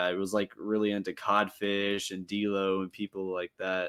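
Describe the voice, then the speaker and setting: A man with a slight Southern US accent speaks at a moderate pace in a fairly low pitch. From South Carolina, USA. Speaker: beatboxer and looper. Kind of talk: casual interview.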